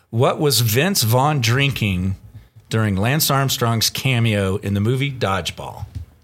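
With an ordinary speaking voice, a man talks at a fairly slow pace, his medium pitch showing ordinary variation and his loudness very even. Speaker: podcast co-host and producer. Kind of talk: casual banter podcast.

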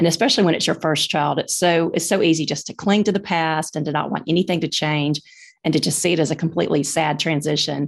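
A woman with a Southern US accent, fairly low in pitch and fairly quick in pace. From Birmingham, Alabama, US South. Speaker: author and mom of four girls. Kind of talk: casual interview chat.

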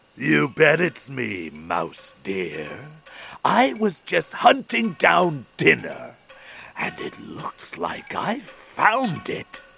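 A man growls in a put-on character voice with a menacing tone. He speaks at a very slow pace. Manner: menacing, predatory.

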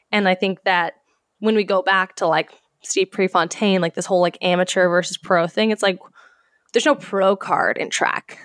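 A woman talks in a plain, everyday voice at a medium pitch and moderate pace, with fairly even intonation. The very clean recording has a silent background and a dry, close sound with no echo. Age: 20s. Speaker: professional runner. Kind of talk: interview.

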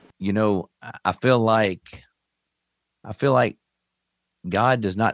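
In a very clean, dry and close recording with a silent background and no echo, a man with a Kentucky accent and a fairly low pitch speaks at a fairly slow pace with long, frequent pauses and big swings in loudness. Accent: Southern US, Kentucky. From Western Kentucky (Owensboro). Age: 40s. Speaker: amputee advocate. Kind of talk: interview storytelling. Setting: studio.

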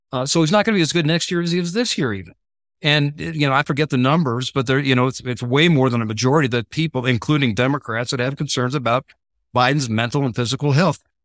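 On a very clean recording with a silent background and a dry, close sound with no echo, a man speaks at a very fast pace with ordinary pitch variation. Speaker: political strategist. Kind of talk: casual chat.

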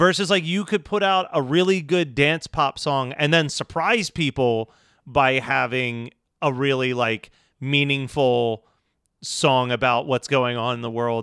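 A man's fairly high, bright and sharp voice with a Philadelphia accent, fairly slow pace and ordinary pitch variation, dry and close with no echo, on a very clean recording with a silent background. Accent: Delco Philly. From Delaware County, Philadelphia area. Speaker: podcast co-host. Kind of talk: casual chat.

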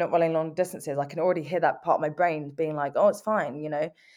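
In a quiet background, a woman speaks very fast. She has a London accent. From England, North London. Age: 20s. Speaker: motivational speaker and amputee athlete. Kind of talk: interview.

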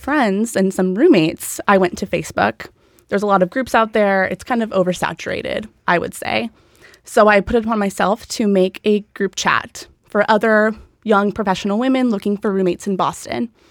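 In an American accent, a woman with an ordinary speaking voice talks at a moderate pace and medium pitch with ordinary pitch variation, the sound dry and close with no echo. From Southern California. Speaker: social group founder. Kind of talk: casual chat.

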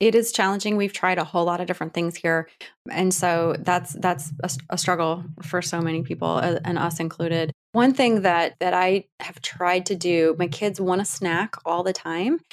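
Midwestern US accent from a woman, fairly low in pitch, moderate pace, ordinary pitch variation. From Ohio, Cleveland area. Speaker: author and mother. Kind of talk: interview.

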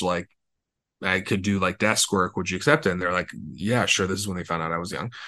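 Against a quiet background, a man talks with a Californian accent. His tone is bright and sharp. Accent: Californian American. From Los Angeles. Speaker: entrepreneur and author. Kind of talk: interview conversation.

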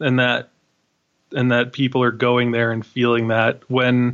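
In an American accent, a man uses an ordinary speaking voice at a medium pitch and a moderate pace. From New York City, Queens. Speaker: film critic and podcast host. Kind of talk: casual chat.

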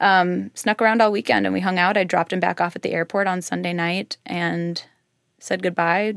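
Someone with an American accent and an unremarkable speaking voice talks at a fairly quick pace with ordinary pitch variation. The recording is very clean with a silent background. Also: woman. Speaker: interviewee sharing personal story. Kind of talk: interview.

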